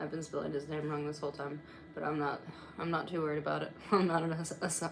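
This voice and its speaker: A soft-spoken woman talks at a very fast pace, with audible room echo and noticeable background noise. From Morocco. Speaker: YouTube commentator. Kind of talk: livestream commentary. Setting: home livestream. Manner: halting, many pauses and ums.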